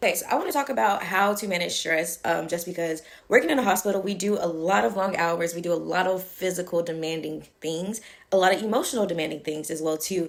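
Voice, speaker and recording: A woman talking at a very fast pace. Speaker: nurse and health video creator. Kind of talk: casual tutorial to camera. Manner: animated, conversational.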